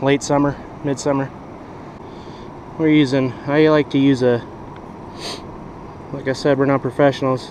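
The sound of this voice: At a moderate pace, a man speaks at medium pitch with a slightly mellow tone and little pitch movement over faint background noise.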